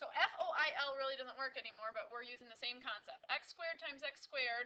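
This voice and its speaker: Raised and projected, a woman's high voice rushes at a very fast pace with ordinary pitch variation and big swings in loudness. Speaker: math teacher. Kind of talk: tutorial.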